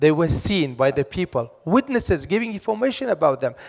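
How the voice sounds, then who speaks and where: Loud and recorded with a dry, close sound with no echo, a man's voice makes very wide pitch swings. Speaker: academic expert on missing persons. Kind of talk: panel discussion. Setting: conference hall with audience.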